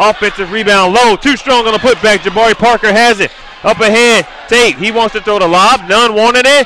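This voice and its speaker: Over crowd noise in the background, a man speaks in a raised, projected voice at a moderate pace. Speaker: play-by-play commentator. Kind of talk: live commentary. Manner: loud; animated.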